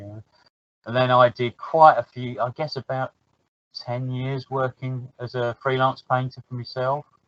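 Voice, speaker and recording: A man has an ordinary speaking voice at a medium pitch. He speaks at a fairly slow pace. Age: 60s. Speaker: miniature painter. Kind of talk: casual chat.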